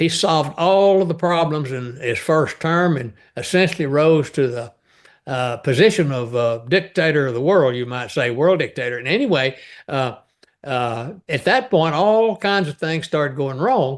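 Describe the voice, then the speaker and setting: Over a quiet background, a man keeps a moderate pace, his fairly high voice carrying lively intonation. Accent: Texan. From East Texas. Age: 80s+. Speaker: novelist. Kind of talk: interview conversation. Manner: halting, many filler sounds.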